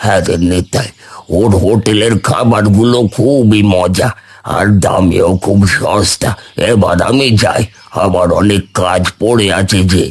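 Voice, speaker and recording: A man does a cartoonish character voice at a fairly low pitch. He speaks at a fairly slow pace with fairly even intonation. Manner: friendly, easygoing.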